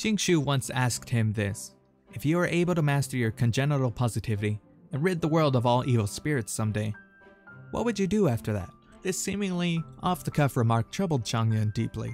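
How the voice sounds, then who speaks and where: Over music in the background, a man speaks at a fairly quick pace. His medium pitch makes very wide swings. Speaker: narrator. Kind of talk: reading aloud.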